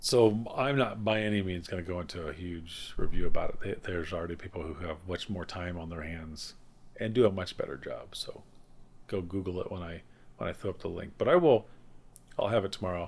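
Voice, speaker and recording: A man's very deep, low voice, with ordinary pitch variation and big swings in loudness. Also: fairly quick pace. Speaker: tech podcast co-host. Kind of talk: casual chat. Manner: halting, stuttering.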